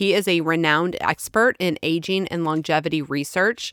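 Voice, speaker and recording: In a dry, close recording with no echo, a woman speaks in an ordinary speaking voice at a fairly low pitch. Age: 40s. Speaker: podcast co-host, author and nonprofit founder. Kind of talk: interview; scripted introduction.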